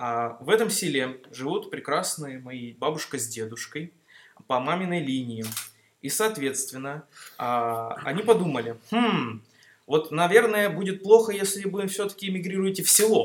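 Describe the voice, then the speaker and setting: At a moderate pace, the speaker's voice moves through very wide pitch swings and big swings in loudness. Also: man, high pitch for a man. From Mineralnye Vody, North Caucasus, Russia (born in Greece, moved at 6). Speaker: student. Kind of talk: casual chat.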